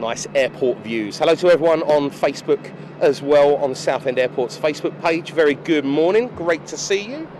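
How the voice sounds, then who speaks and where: Over noticeable background noise, a man talks at a moderate pace with ordinary pitch variation and hardly any pauses. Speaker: aviation live streamer. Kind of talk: live stream commentary. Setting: airport control tower. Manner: casual, chatty.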